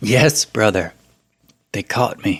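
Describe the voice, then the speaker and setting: A raspy, put-on character voice from a man at medium pitch, dry and close with no echo. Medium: read story. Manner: bitter, sneering.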